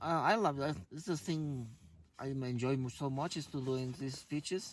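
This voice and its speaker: This man talks with a Spanish accent. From Guatemala. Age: 60s. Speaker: mountaineer and motivational speaker. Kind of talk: interview. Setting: in a tent on an expedition. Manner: halting.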